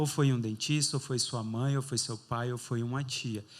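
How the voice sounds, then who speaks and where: A man talks at a moderate pace in a flat, monotone delivery. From Brazil, interior of Bahia. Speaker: dentist running a charity. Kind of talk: interview on stage.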